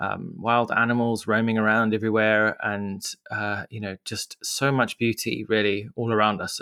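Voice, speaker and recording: On a very clean recording with a silent background, a man with a Zimbabwean accent speaks at medium pitch and a moderate pace, his bright, sharp tone dry and close with no echo. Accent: Zimbabwean-tinged English. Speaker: media entrepreneur. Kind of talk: casual interview. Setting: studio. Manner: halting, many fillers.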